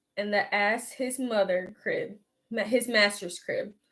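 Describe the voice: Plain reading aloud against a quiet background, pitch varying in an ordinary way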